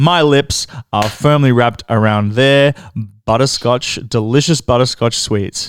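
Very clean recording over a silent background, a man with an Australian accent at medium pitch. He talks at a fairly slow pace, with very even loudness and ordinary pitch variation. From Melbourne, Australia. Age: 30s. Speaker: club owner. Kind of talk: casual interview storytelling.

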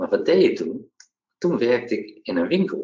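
A man is speaking. His pace is fairly slow. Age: 40s. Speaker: entrepreneur, former benefits agency employee. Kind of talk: interview. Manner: halting, many hesitations.

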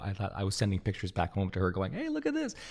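A man's voice is somewhat breathy. The recording is very clean, and the background is silent. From Canada, Montreal. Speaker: podcast host. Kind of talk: scripted narration; interview.

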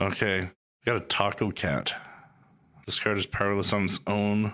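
Keeping his loudness very even, a man with a fairly low pitch and a bright, sharp tone speaks at a fairly slow pace with long, frequent pauses. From Canada, Calgary. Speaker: podcast host, real estate agent. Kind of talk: scripted intro/outro; casual interview while playing a board game.

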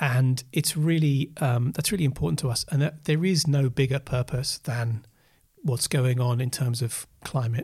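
Over a very clean recording with a silent background, a man with a southern English accent speaks at a moderate pace in a somewhat breathy voice with very even loudness. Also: medium pitch for a man, ordinary pitch variation. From Essex and Oxfordshire, England. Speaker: creative director and agency founder. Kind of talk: casual interview.

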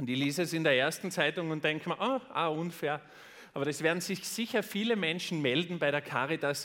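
Recorded very cleanly against a silent background, a man with a fairly high pitch speaks at a moderate pace with lively intonation and an animated tone. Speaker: podcast host and motivational speaker. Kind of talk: keynote speech. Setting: stage with audience.

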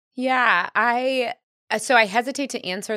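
Woman with an American accent and a bright, sharp tone, on a very clean recording with a silent background and a dry, close sound with no echo. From US Midwest, Missouri. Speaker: entrepreneur, company founder. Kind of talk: casual interview chat.

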